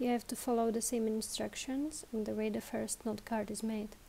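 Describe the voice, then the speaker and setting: The tone is dark and mellow. The speaker has a non-native accent. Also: woman. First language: not English. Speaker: tutorial presenter. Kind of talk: tutorial. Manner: slow, careful.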